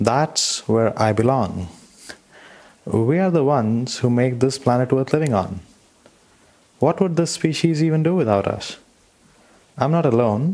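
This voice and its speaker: A man's medium-pitched voice with lively intonation and very even loudness, a fairly slow pace, long, frequent pauses and noticeable background noise. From India. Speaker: listener sharing a mantra. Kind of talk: recorded personal testimony.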